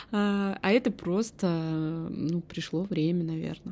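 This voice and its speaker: A woman's fairly low-pitched voice, relaxed in tone, dark and mellow. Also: very clean recording, silent background. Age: 30s. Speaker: podcast host. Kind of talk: solo podcast monologue. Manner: chatty, relaxed.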